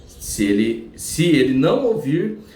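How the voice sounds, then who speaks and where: A man is heard over noticeable background noise, with audible room echo around his voice. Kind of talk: religious teaching monologue.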